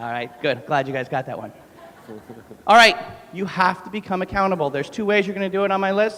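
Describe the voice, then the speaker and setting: With an American accent and an animated tone, a man speaks at a high pitch against noticeable background noise. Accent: New York accent, comes out when talking fast. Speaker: gym owner and fitness trainer. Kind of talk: motivational talk. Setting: stage with audience. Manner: fast.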